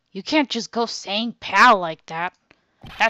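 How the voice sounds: A natural reading voice with lively intonation sounds against a quiet background.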